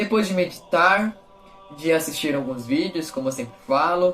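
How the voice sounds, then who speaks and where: With music in the background, a man talks at a high pitch and a fairly slow pace with lively intonation. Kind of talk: gospel reading and reflection. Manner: informal, animated.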